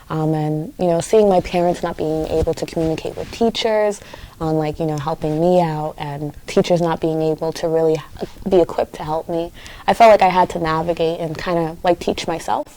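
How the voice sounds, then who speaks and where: Over noticeable background noise, a woman with a fairly low pitch talks at a fairly quick pace with fairly even intonation. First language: Haitian Creole. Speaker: community activist. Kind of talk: interview. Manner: hesitant with fillers and repetitions.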